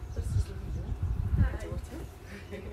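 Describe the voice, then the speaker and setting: Loud background noise surrounds the woman as she talks. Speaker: fitness instructor. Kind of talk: live workout instruction. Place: garden.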